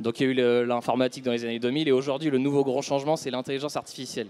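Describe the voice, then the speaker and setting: Here a man speaks at a very fast pace. His voice sits at a medium pitch with fairly even intonation. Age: 30s. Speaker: chartered accountant. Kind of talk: business interview.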